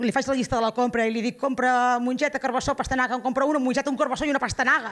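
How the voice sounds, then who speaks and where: A woman at a high pitch and very fast pace, with fairly even intonation and very even loudness. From Girona, Catalonia; Catalonia. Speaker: stand-up comedian. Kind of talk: stand-up. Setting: stage with live audience. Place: stage. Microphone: handheld.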